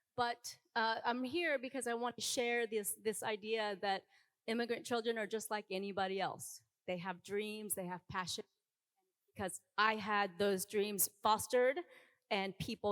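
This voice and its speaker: A woman with a Korean accent talks at a moderate pace and fairly high pitch with ordinary pitch variation, in a dry, close sound with no echo. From South Korea. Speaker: dance teacher. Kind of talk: panel discussion.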